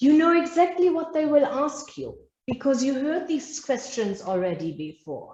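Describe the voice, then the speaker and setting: Someone speaks at a moderate pace in a German accent with lively intonation. Audible room echo surrounds the voice. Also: woman, high pitch for a woman. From Germany. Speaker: business trainer. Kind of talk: masterclass lecture. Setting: live online webinar.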